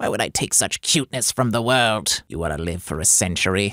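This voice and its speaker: A man's put-on character voice, fairly low in pitch and fairly quick in pace, on a very clean recording with a silent background. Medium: dub.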